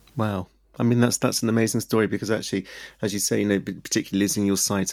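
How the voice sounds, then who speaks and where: A man's fairly low-pitched voice with vocal fry, at a very fast pace, on a very clean recording with a silent background. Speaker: podcast host. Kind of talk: interview.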